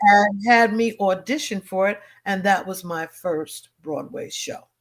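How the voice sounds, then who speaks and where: Music plays behind a woman of medium pitch speaking at a fairly slow pace. Her pitch variation is ordinary, while her loudness swings widely. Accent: American. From Harlem, New York. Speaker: singer, stage actress. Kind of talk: interview answer.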